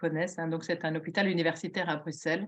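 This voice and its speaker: This woman speaks with a fairly low pitch. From southern Belgium. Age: 60s. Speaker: retired police officer, patient giving testimony. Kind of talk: testimony. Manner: hesitant, many fillers.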